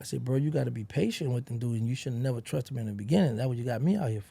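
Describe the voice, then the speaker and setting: A man with an American accent talks at a very fast pace in a medium pitch, his somewhat breathy voice carrying a dark, mellow tone. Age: 50s. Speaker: former rapper's associate and ex-inmate. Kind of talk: interview. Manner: animated.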